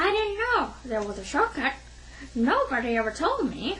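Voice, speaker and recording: With clear background noise behind her, a woman puts on a character voice, high-pitched and at a moderate pace. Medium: read story. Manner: sharp, scornful.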